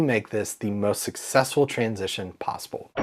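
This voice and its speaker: A man at a fairly quick pace, animated in tone. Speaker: podcast host and music tech educator. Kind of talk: tutorial. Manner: fast.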